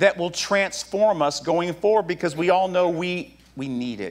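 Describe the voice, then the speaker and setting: At a fairly slow pace, a man is speaking. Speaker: pastor. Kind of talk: sermon. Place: church.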